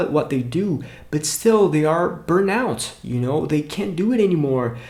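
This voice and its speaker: Lively intonation marks a man's fairly high-pitched voice, delivered at a moderate pace with a Brazilian accent. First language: Portuguese. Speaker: English teacher and YouTuber. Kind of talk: motivational talk to camera.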